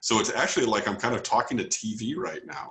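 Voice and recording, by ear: With a fairly bright tone and vocal fry, a man talks fast at a medium pitch, his intonation lively amid audible room echo.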